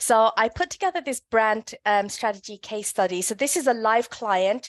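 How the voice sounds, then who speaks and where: In a British accent, the speaker talks at a moderate pace with ordinary pitch variation, in a dry, close sound with no echo and a quiet background. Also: woman, fairly high pitch for a woman. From London, England. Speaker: brand consultant. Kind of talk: workshop presentation. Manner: hesitant with many fillers.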